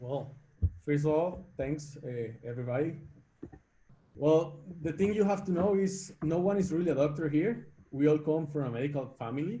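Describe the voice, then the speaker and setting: Spoken with a Spanish accent at a moderate pace, the voice has a dark, mellow tone, is somewhat breathy and shows ordinary pitch variation. Long, frequent pauses break it up, and the room echo is audible. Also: man, fairly high pitch for a man. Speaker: startup executive. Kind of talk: webinar interview.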